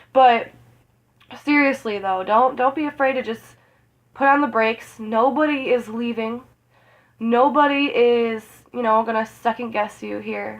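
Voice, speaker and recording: A woman speaks with fairly even intonation, long, frequent pauses, and big swings in loudness. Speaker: tarot reader. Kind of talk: astrology reading. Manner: casual, rambling; fast.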